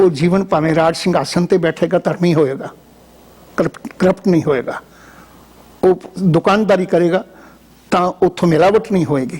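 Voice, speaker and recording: A high-pitched male voice with long, frequent pauses, over noticeable background noise. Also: ordinary pitch variation, very even loudness. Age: 70s. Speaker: Sikh religious scholar and former head priest. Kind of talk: interview. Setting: studio.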